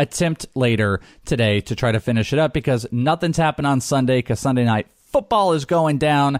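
A man speaks at a fairly quick pace in an animated tone, with medium pitch and ordinary pitch variation. His loudness stays very even, and the sound is dry and close with no echo. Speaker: fantasy football radio host. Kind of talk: casual sports talk radio chat. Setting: studio. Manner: animated, joking.

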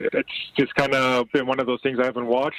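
A man talks at a very fast pace with a fairly high pitch in a dry, close recording without echo. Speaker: soccer betting analyst. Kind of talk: casual betting picks chat.

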